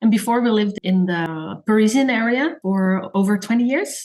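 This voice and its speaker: There is noticeable background noise behind this speaker. A woman with a fairly high voice talks at a moderate pace. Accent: slight Dutch. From Netherlands. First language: Dutch. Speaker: designer and blogger. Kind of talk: podcast interview.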